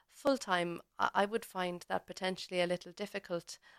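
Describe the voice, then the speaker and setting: Here a woman speaks in a Cork accent, medium in pitch, with fairly even intonation. The sound is dry and close, with no echo. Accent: Cork Irish. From Ireland, Cork. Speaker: paediatric dentist and lecturer. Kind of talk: interview. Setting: radio studio. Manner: halting, many fillers.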